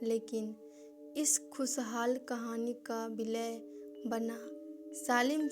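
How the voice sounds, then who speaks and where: Music plays in the background. Over it, a woman speaks at a fairly high pitch. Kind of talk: horror story narration.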